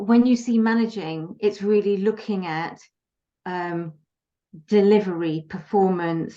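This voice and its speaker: A woman speaks at a medium pitch with a dark, mellow tone and ordinary pitch variation, moving at a fairly slow pace with long, frequent pauses. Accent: British. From Britain. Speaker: leadership and communications coach. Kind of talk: interview. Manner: many filler words (um, uh).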